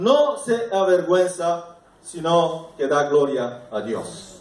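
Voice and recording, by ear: Speaking slowly with big pitch swings, a man with a fairly high voice is heard against strong room echo.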